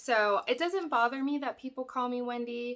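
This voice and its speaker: A woman is speaking. Her pace is moderate. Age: 30s. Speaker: crafting YouTuber. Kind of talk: casual Q&A vlog. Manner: hesitant, many fillers.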